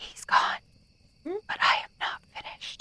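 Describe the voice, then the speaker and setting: A put-on character voice at a fairly slow pace. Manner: creepy, ominous.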